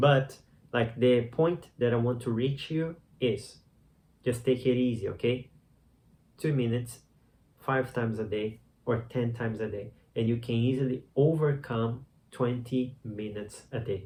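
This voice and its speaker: A man of medium pitch speaks fairly slowly in a dark, mellow, somewhat breathy voice with fairly even intonation and long, frequent pauses. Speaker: meditation teacher. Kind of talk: tutorial. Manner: casual, conversational; halting.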